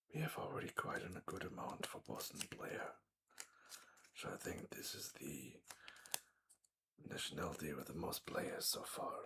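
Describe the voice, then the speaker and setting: Whispering and soft-spoken, the speaker leaves long, frequent pauses. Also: moderate pace. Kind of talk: ASMR sticker pack opening commentary. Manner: soft-spoken, whispering.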